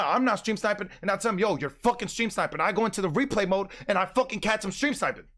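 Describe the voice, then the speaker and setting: In a furious tone, a man with a high pitch speaks at a very fast pace. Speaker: GTA roleplay streamer. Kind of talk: heated angry rant. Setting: online gaming stream, roleplay server. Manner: loud, furious, repetitive, shouting emphatic insistence; rapid-fire, indignant, self-justifying with constant 'bro'.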